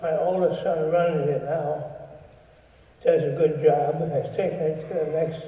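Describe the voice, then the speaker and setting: A man talks at a fairly slow pace. The room echo is audible. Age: 80s+. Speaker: retired businessman, presenter. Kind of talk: induction speech. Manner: halting.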